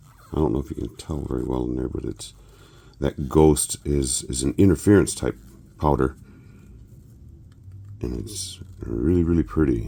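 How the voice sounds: Using a put-on character voice, a man with a very deep, low pitch speaks hoarsely at a moderate pace, with ordinary pitch variation and long, frequent pauses.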